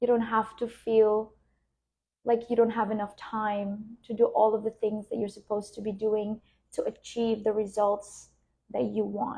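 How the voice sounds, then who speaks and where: A woman speaks fairly slowly in a fairly high, somewhat breathy voice of dark, mellow tone. Her intonation stays monotone and flat. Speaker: spiritual business coach. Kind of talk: guided meditation; live stream talk. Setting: live stream. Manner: soft-spoken. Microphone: new wireless microphone.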